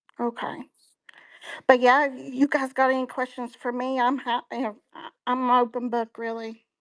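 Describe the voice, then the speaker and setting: A woman with a high-pitched voice speaks at a moderate pace in a monotone, flat intonation, her loudness swinging widely, in a dry, close sound with no echo. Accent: Appalachian. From Appalachia. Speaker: online community member. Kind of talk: casual chat. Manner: halting.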